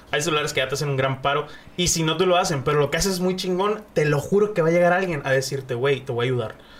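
Noticeable background noise sits behind a man speaking at a fairly high pitch. He talks at a very fast pace. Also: ordinary pitch variation. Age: 20s. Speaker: streamer and content creator. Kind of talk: casual chat. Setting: studio.

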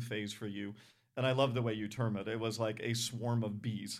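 Using a normal speaking voice, a man with an American accent and medium pitch talks at a fairly quick pace with fairly even intonation. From Rhode Island, US. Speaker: church podcast host. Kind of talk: casual interview.

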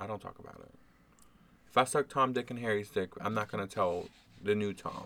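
The soft-spoken delivery runs at a fairly quick pace, broken by long, frequent pauses. Loudness swings a lot while the intonation stays fairly even. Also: man, fairly low pitch for a man. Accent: American. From New Orleans. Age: 20s. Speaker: podcast guest. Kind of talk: casual chat.

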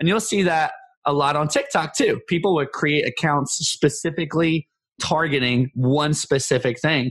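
A man with a normal speaking voice talks at a moderate pace and a fairly high pitch, with ordinary pitch variation and very even loudness. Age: 30s. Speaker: comedy content creator. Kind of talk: casual interview chat.

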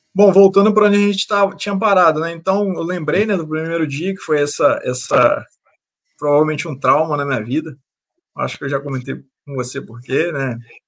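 A man's high-pitched voice with ordinary pitch variation, at a fairly quick pace. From Brazil, interior of Rio de Janeiro state. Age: 30s. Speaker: personal finance content creator. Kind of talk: casual interview chat.

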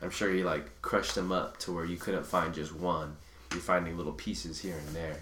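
This man has a very deep, low pitch and a fairly quick pace. His intonation is fairly even, and room echo is audible. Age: 20s. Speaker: true crime podcast host. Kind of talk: casual chat.

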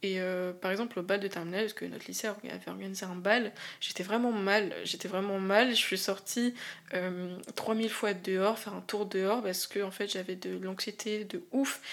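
In a medium pitch, a woman talks with monotone, flat intonation. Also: moderate pace. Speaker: podcast host. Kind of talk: solo podcast monologue. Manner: hesitant, many fillers.

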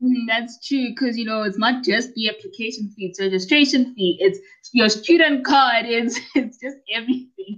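Excited and enthusiastic, a woman talks with a South African accent at a moderate pace, her fairly high pitch showing ordinary variation. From South Africa, Pretoria. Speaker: college student and podcaster. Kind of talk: casual interview chat. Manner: excited, enthusiastic.

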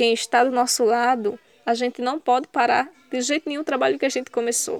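Music plays in the background as a woman talks in a high voice with fairly even intonation. The sound is dry and close, with no echo. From Pernambuco sertão, Brazil. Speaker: youth movement coordinator. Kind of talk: interview. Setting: video call.

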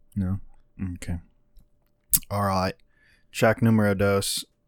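A man's fairly low voice at a very slow pace, in a dry, close sound with no echo. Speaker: music podcast host. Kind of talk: casual chat.

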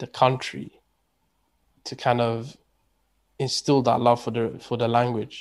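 In a London accent, a man speaks at a fairly slow pace and a medium pitch. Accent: British English, London multicultural. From UK, Pakistani heritage. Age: 20s. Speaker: podcast guest. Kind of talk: casual chat. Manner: repetitive filler-heavy.

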